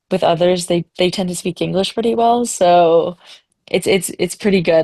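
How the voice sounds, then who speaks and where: Speaking at a moderate pace, a woman with a French accent has a dark, mellow tone. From Ontario, Canada. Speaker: ski instructor. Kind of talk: webinar panel discussion. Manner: casual, filler-heavy.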